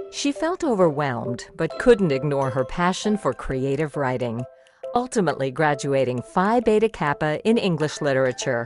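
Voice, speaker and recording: Over music in the background, a woman with a very deep, low voice speaks with very wide pitch swings. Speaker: voice actor. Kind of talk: explainer video narration.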